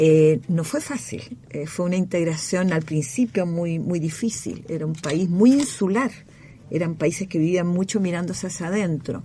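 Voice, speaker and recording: A woman with a plain, everyday voice speaks at a moderate pace in a fairly low pitch, her intonation lively. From Chile. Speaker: former government minister and academic. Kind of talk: radio interview.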